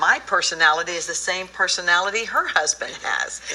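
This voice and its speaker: A woman talks with ordinary pitch variation. Noticeable background noise sits behind her. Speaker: co-author of a personality book. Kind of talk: TV interview.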